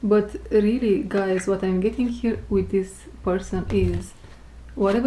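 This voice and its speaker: This woman has a non-native accent. She talks at a moderate speed. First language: not English. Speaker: tarot reader. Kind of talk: tarot reading. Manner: casual.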